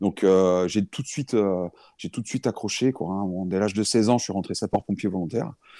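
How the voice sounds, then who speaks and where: This man has a fairly low pitch, a dark, mellow tone, and ordinary pitch variation at a moderate pace. The sound is dry and close with no echo, on a very clean recording with a silent background. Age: 40s. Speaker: firefighter and crypto investor. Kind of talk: interview. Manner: halting.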